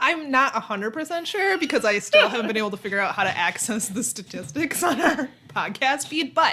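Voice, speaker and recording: A woman's bright, sharp tone in an American accent, high in pitch with very wide pitch swings, at a fairly quick pace. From Minnesota. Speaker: podcast host.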